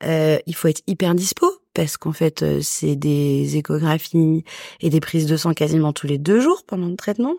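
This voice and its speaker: A woman with a very deep, low pitch and a dark, mellow tone speaks at a fairly slow pace in a very clean recording with a silent background, the sound dry and close with no echo. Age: 30s. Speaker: guest sharing egg freezing story. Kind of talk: testimony. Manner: hesitant, many fillers.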